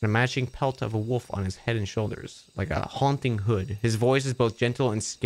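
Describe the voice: The clip is a plain reading aloud of text.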